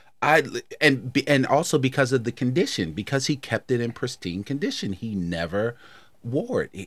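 The recording is very clean with a silent background, carrying a man's normal speaking voice at a medium pitch with lively intonation. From Baltimore, Maryland. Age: 50s. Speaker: podcast host, guest. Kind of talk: casual chat.

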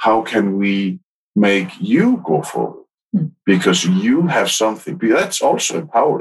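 In an Icelandic accent, a man speaks at a moderate pace with very wide pitch swings. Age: 50s. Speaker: podcaster and workplace happiness consultant. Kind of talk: casual interview.

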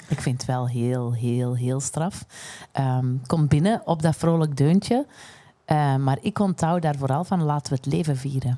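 A woman with a Flemish accent speaks at a fairly slow pace in a very deep, low pitch, her tone dark and mellow, with ordinary pitch variation. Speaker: podcast host. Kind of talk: casual chat.

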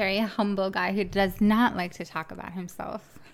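A woman with an American accent has an unremarkable speaking voice at a medium pitch. She talks at a fairly slow pace with fairly even intonation. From Miami, Florida. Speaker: podcast co-host. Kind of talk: casual chat.

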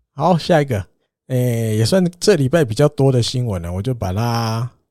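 Recorded very cleanly with a silent background, a man's dark, mellow voice at a medium pitch moves at a moderate pace with lively intonation. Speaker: baseball podcast host. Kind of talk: casual chat.

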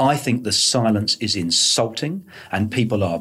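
A man with a British accent and a medium pitch speaks with very wide pitch swings over noticeable background noise. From Britain. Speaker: podcast host and author. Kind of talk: interview. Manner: animated.

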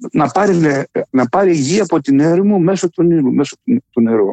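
A man's fairly high voice with a dark, mellow tone and a dry, close sound with no echo. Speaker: writer and poet. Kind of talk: interview. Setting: phone call.

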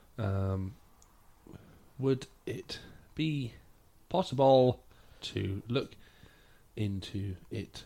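A man with an English accent speaks very slowly in a dark, mellow tone, with ordinary pitch variation and long, frequent pauses. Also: medium pitch for a man. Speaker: podcast host. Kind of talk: casual chat.

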